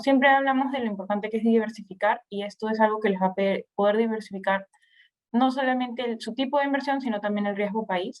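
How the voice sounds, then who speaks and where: Intonation here is fairly even. The delivery is at a fairly quick pace. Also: woman. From Peru. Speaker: investment platform presenter. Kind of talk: webinar presentation. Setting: online webinar. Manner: halting.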